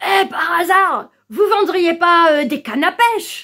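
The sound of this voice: In a put-on character voice, a woman speaks at an extremely high pitch, raised and projected. Her intonation is lively, and her pace is fairly slow.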